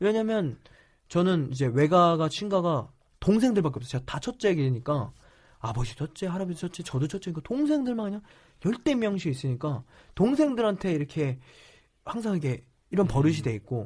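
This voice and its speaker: A man's high voice with very wide pitch swings at a fairly quick pace, broken by long, frequent pauses, on a very clean recording with a silent background. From South Korea. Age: 20s. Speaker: startup CEO. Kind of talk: interview.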